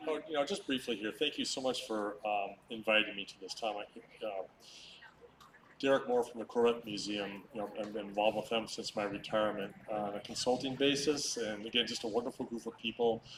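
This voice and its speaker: The man, at a medium pitch, has a normal speaking voice. His intonation is fairly even and his pace fairly quick. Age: 60s. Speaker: retired car designer. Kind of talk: short speech at event.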